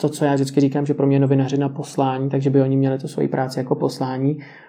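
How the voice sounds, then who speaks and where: The voice sits fairly high. It belongs to a man. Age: 20s. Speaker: journalist. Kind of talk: interview.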